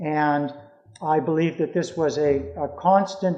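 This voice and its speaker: Ordinary pitch variation marks a man's fairly high voice in a Canadian accent. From Canada, British Columbia. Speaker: former cult member and critic. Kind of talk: Q&A at a public talk. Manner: halting.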